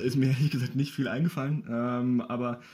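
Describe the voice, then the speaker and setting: A man speaks at a medium pitch with fairly even intonation. His tone is dark and mellow. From Bavaria, Ingolstadt. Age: 20s. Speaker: poetry slammer and local sports journalist. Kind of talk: casual interview.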